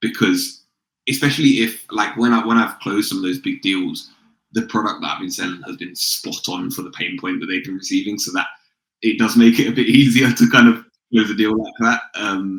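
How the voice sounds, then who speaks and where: A man speaks fairly quickly in a London accent. His loudness swings a lot. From London, England. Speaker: sales consultant and founder. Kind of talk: podcast interview. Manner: casual, conversational.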